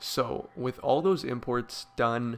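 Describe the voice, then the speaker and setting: A man's plain, everyday voice, medium in pitch, with ordinary pitch variation. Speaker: programming tutorial maker. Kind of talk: tutorial. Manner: casual with filler words.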